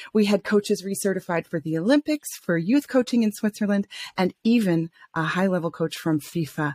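A woman's plain, everyday voice at medium pitch, with an American accent, lively intonation, a moderate pace and a dry, close sound with no echo. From US South, Atlanta, Georgia. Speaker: coach and vocational psychologist. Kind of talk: interview.

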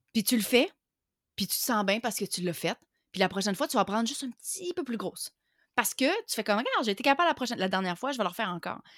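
Pitched fairly high, a woman speaks at a very fast pace with very wide pitch swings, in a dry, close sound with no echo and a very clean recording with a silent background. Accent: Quebec. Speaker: online entrepreneur. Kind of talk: interview.

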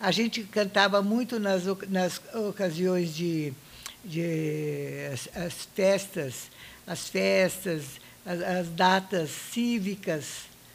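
A woman speaks at a very slow pace with a medium pitch. Noticeable background noise is present. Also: ordinary pitch variation. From Brazil, São Paulo state interior (Monte Alto). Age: 80s+. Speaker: retired music teacher. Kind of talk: interview.

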